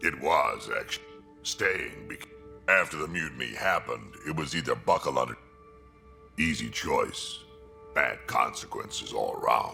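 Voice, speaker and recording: A man in a put-on character voice, with long, frequent pauses and clear music in the background. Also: moderate pace. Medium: video game. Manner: gruff, blunt.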